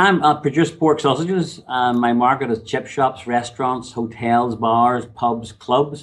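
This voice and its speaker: A man with a Northern Irish accent, his loudness very even, over a quiet background. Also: medium pitch for a man, ordinary pitch variation. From Northern Ireland. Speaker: sausage manufacturer, business owner. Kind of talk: interview. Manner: frank, to the point.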